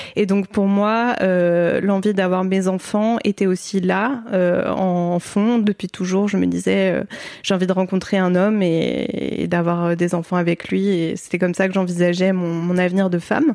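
The speech moves at a fairly slow pace in a monotone, flat intonation. Its loudness stays very even throughout. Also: woman, medium pitch for a woman. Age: 30s. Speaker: book editor and author, mother. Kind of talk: casual interview.

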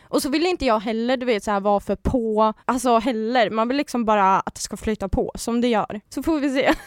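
In a very clean recording with a silent background and a dry, close sound with no echo, a woman with an unremarkable speaking voice talks at a fairly quick pace and a fairly high pitch, with ordinary pitch variation and hardly any pauses. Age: 20s. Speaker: reality TV personality. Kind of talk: casual chat. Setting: studio.

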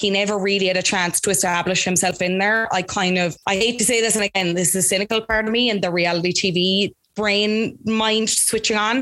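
A woman with an Irish accent and a bright, sharp tone, at medium pitch and a fairly quick pace, with fairly even intonation, very even loudness and hardly any pauses. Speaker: Love Island commentator and podcast producer. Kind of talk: casual interview chat.

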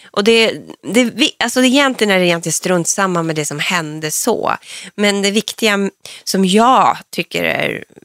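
A woman speaks in a plain, everyday voice at a medium pitch and moderate pace. Her intonation is lively, and the sound is dry and close with no echo. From northern Sweden (Norrland, Piteå area). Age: 40s. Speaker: reality TV personality. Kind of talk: casual interview.

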